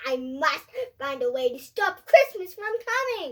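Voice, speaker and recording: A put-on character voice growls at a moderate pace, with very wide pitch swings. Its loudness swings a lot too. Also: woman, extremely high pitch for a woman. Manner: growling, grumpy.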